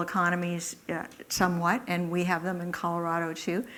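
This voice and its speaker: At a moderate pace, a woman speaks with a fairly low pitch and monotone, flat intonation amid audible room echo. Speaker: economics professor giving a public talk. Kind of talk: public lecture. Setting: lecture hall with live audience. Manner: hesitant, many fillers and false starts.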